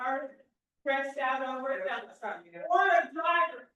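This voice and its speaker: A woman's raised, projected voice, high-pitched, bright and sharp, fairly slow, with audible room echo. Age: 60s. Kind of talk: casual chat.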